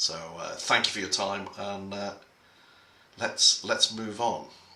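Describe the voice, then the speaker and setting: A man with an English accent talks at a fairly slow pace. His loudness swings a lot, with noticeable background noise behind him. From England. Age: middle-aged. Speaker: conference speaker. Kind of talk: prepared talk. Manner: halting.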